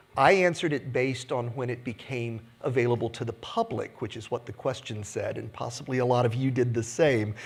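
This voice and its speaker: Somewhat breathy male speech with an American accent, medium in pitch with fairly even intonation and a fairly quick pace. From United States. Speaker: industry analyst. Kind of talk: conference keynote. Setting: stage with audience.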